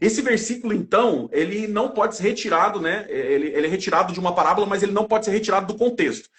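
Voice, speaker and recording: Over noticeable background noise, a man talks very fast with hardly any pauses, his high voice animated and showing ordinary pitch variation. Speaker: evangelical Bible teacher. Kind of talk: religious discussion on livestream. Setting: online live stream.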